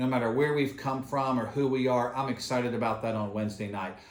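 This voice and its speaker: Male speaker with ordinary pitch variation, audible room echo and noticeable background noise. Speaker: pastor. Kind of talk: church video announcements. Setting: filmed on camera at church. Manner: fast.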